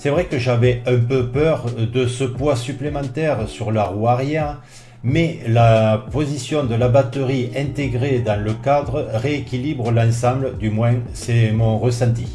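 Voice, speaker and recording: Speaking very slowly, a man keeps a medium pitch and fairly even intonation. Audible room echo surrounds his voice. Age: 60s. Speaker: customer product reviewer. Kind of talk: product review.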